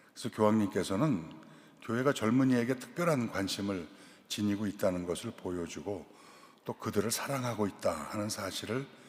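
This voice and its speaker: This man's voice sits fairly low in pitch. He speaks at a moderate pace with lively intonation. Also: long, frequent pauses. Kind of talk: lecture. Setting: cathedral lecture event.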